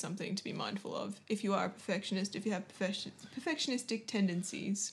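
A woman talks with an Australian accent. Her medium-pitched voice is somewhat breathy. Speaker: podcast host. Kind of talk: solo podcast intro; casual interview chat.

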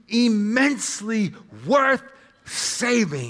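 Bright, sharp tone in a voice that is raised and projected. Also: man. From United States, Serbian-American family. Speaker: pastor. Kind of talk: sermon.

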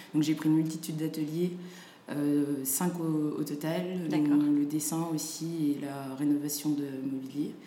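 A woman's very deep, low voice, very slow and monotone, with audible room echo and noticeable background noise. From France, Saint-Étienne, with Senegalese family. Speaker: fashion designer and entrepreneur. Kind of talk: interview.

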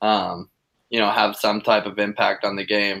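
Pitched fairly low, a man speaks at a moderate pace. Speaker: college lacrosse player. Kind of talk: casual interview.

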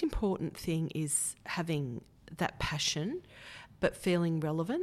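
With an Australian accent, a woman speaks fairly slowly at a fairly low pitch, her intonation lively. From Australia, Hunter region (Kurri Kurri, NSW). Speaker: federal politician, former radio presenter. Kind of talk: interview.

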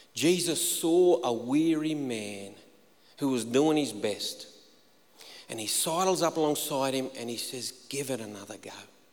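Against noticeable background noise, a man with a fairly high pitch talks at a fairly slow pace with lively intonation. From inland New South Wales, Australia. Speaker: pastor. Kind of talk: sermon. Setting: church stage with congregation.

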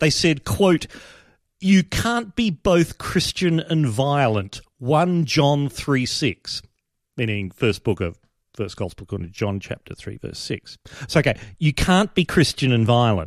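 A man with an Australian accent, fairly high pitch, very wide pitch swings and a fairly slow pace, dry and close with no echo in a very clean recording with a silent background. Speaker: podcast host. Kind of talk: satirical podcast monologue. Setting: live stream. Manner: animated.

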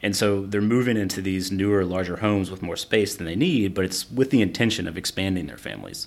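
A man talks at a very fast pace. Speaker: podcast host interviewer. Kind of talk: interview.

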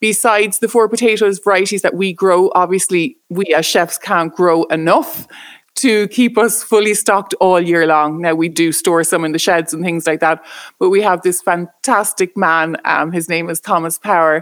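In an Irish accent, a woman speaks at medium pitch and moderate pace with ordinary pitch variation. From Ireland. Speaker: chef. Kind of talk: casual interview.

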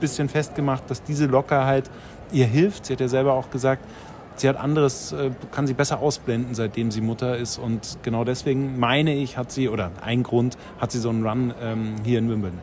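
At a moderate pace, a man with an ordinary speaking voice talks at a medium pitch with ordinary pitch variation. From Bavaria. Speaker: sports TV reporter. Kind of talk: casual chat. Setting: on site at a tennis tournament.

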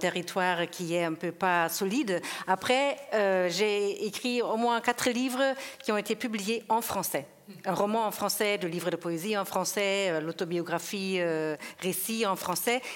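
In an unremarkable speaking voice, a woman talks at a fairly slow pace with a medium pitch and ordinary pitch variation. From Germany. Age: 50s. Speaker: sound poet and performer. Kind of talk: panel discussion. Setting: stage with audience.

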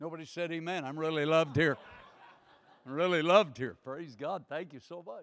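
Animated in tone, a man with an American accent talks at a fairly quick pace in a fairly high pitch, his loudness swinging widely. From United States. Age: 60s. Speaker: guest preacher. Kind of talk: sermon. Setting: church.

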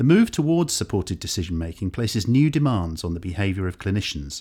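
Talking at a very fast pace, a man sounds somewhat breathy and his pitch swings very widely, on a very clean recording with a silent background. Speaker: podcast presenter. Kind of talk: scripted narration. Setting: studio.

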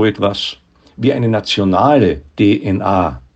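There is vocal fry in this man's voice. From Austria, Graz. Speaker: philosopher. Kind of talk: essay reading.

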